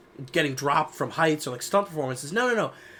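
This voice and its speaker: Amid noticeable background noise, a fairly high-pitched man talks at a very fast pace with an animated tone and lively intonation. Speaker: podcast co-host. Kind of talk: casual chat. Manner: animated ranting.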